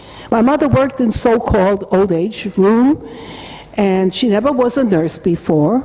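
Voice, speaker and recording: A woman at fairly high pitch with lively intonation, fairly slow with long, frequent pauses, very even in loudness, over noticeable background noise. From Germany. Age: 80s+. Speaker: holocaust survivor. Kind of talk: testimony. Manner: halting.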